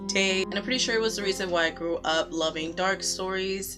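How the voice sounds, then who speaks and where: A woman speaks with music in the background. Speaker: book vlogger. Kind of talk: casual talk to camera.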